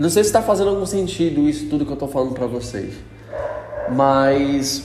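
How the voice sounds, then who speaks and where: With a relaxed tone, a man speaks at a fairly quick pace amid noticeable background noise and audible room echo. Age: 20s. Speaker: podcast host. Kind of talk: casual solo monologue. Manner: relaxed, informal.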